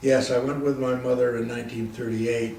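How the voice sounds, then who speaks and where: The speaker has an American accent and a monotone, flat intonation. Noticeable background noise runs underneath. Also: man. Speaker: war veteran. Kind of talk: interview answer.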